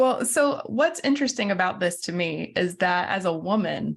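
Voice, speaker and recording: A woman speaks with an American accent at a moderate pace and medium pitch. It is an ordinary speaking voice. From US South, southeast Georgia. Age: 30s. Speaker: minister and author. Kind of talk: interview conversation.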